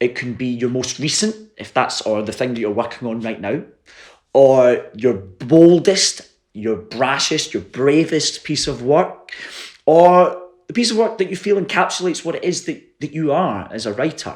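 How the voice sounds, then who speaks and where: Speaking at a moderate pace in a Glaswegian accent, a man with a fairly high voice swings his pitch very widely. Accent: Glaswegian Scottish. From Scotland, Glasgow. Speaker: playwright. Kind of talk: online workshop. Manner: casual, hesitant with fillers.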